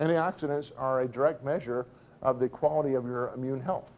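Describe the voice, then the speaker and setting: The man has an unremarkable speaking voice at a medium pitch. He moves at a fairly quick pace with ordinary pitch variation. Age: 60s. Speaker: business speaker. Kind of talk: presentation.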